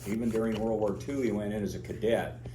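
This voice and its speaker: A man with an American accent speaks at a fairly quick pace with a fairly low pitch. Audible room echo and noticeable background noise are present. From US Pacific Northwest, Oregon. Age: 70s. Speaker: pilot and aerobatics instructor. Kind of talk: talk to club audience. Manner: casual, halting with fillers.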